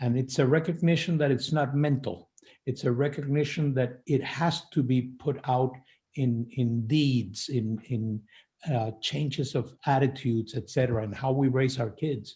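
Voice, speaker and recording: Somewhat breathy, a man speaks at a moderate pace in a dark, mellow tone. The recording is very clean, with a silent background. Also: medium pitch for a man, ordinary pitch variation. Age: 70s. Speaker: faith leader. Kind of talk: panel discussion.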